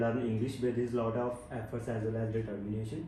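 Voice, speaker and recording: A man at a medium pitch with monotone, flat intonation and a fairly quick pace, amid noticeable background noise and audible room echo. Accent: Punjabi. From Punjab, India (Barnala district). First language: Punjabi. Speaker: IELTS test candidate. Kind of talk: mock speaking exam answers.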